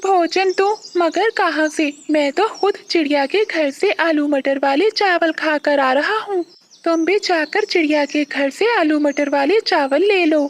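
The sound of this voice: In a cartoonish character voice with an extremely high pitch, the speaker keeps a moderate pace.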